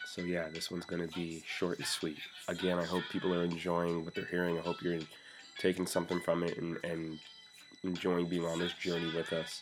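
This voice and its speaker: Using a put-on character voice, a man speaks very deep and low, raspy and monotone, at a moderate pace, with quiet music in the background. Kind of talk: casual, conversational. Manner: quiet, hushed.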